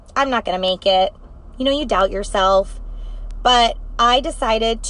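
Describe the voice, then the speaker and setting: In an animated tone, a woman speaks at a fairly high pitch with ordinary pitch variation. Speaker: direct sales team leader. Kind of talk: live video chat. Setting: in a car. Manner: fast.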